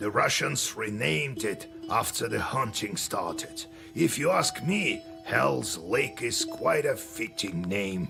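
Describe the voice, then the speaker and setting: Over clear music in the background, a man delivers a put-on character voice at a fairly slow pace. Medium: machinima. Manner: stern, matter-of-fact.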